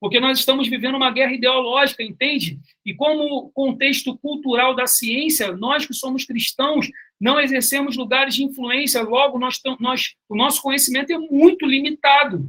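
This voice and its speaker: Raising and projecting his voice, a man with an extremely high pitch and a bright, sharp tone speaks at a moderate pace with fairly even intonation. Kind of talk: online lecture.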